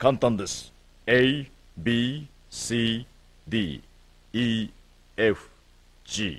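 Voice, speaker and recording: Very slow speech with ordinary pitch variation comes with long, frequent pauses. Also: man, medium pitch for a man. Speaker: teacher character in a children's show. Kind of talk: 1970s-style children's educational TV commercial narration. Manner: calm, formal, teacherly and reassuring, with clear measured delivery.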